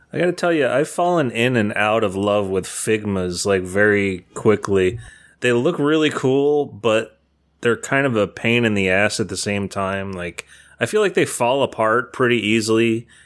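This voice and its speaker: A man with a normal speaking voice talks at a moderate pace and medium pitch, with lively intonation. The recording is very clean, with a silent background. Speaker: podcast panelist. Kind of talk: casual chat.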